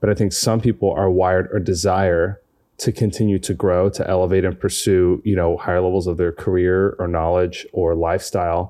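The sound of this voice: The man's tone is dark and mellow, with low pitch and little pitch movement. He keeps a moderate pace with few pauses.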